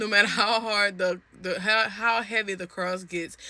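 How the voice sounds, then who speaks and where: An animated woman's voice, bright and sharp in tone, on a very clean recording with a silent background. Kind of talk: devotional talk. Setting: in a closet at home. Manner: stuttering a little.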